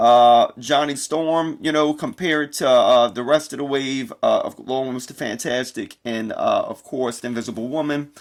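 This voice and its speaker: A man with a plain, everyday voice and an American accent speaks at a fairly high pitch with ordinary pitch variation in a very clean recording with a silent background. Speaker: toy reviewer. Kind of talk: product review.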